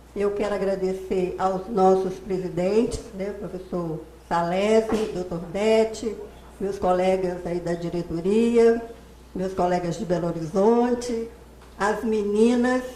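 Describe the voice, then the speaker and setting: Noticeable background noise and audible room echo surround a woman speaking at a medium pitch. Her pace is very slow. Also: fairly even intonation. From Minas Gerais, Brazil. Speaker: accountant and professor giving a talk. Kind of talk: lecture.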